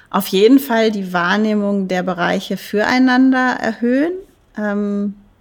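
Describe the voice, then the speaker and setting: Very slow in pace yet with hardly any pauses, a woman talks at a medium pitch with ordinary pitch variation. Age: 40s. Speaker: dance professor. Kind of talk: interview.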